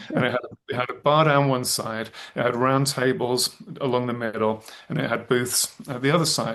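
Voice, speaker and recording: With an English accent, a man speaks in a fairly even intonation. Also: medium pitch for a man, moderate pace. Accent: English accent, noticeable. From England, Birmingham. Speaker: thriller author. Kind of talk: interview. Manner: halting, many fillers and restarts.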